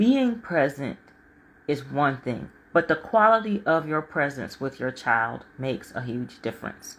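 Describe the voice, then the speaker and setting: A woman speaks loudly, her pitch swinging very widely. The recording is very clean, with a silent background. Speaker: life coach and author. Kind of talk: livestream talk. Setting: live stream from home.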